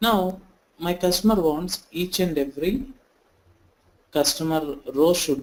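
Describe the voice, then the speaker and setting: Lively intonation from a male speaker. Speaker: software trainer. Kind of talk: online tutorial. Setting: online session. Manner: slow.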